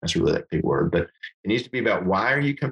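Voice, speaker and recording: With an American accent, a man's voice swings very widely in pitch and carries vocal fry, recorded dry and close with no echo. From Texas Panhandle (Amarillo) and New Mexico. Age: 40s. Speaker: hunting and fly fishing guide. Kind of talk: casual chat.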